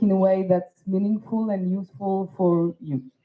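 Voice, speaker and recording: The woman's voice is somewhat breathy. Her pitch lands in the medium range. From Tunisia. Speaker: poet and performer. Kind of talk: festival talk.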